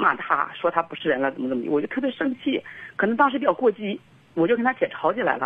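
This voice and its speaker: The speaker is a woman, talking very fast. Her pitch rises and falls very widely. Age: 30s. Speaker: caller seeking marriage advice. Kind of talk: call-in consultation. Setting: phone call. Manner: hesitant, repetitive.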